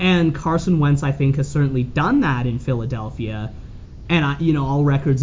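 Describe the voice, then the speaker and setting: Someone with a Canadian accent talks at a moderate pace amid noticeable background noise. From Calgary, Canada. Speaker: sports podcast host. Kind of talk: casual sports chat.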